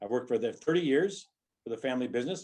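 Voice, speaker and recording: This man has a Midwestern American accent and a fairly high pitch. His tone is dark and mellow, and his intonation is lively. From US Midwest, Rock Island, Illinois. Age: 60s. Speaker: mayoral candidate. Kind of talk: political forum statement. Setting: online forum.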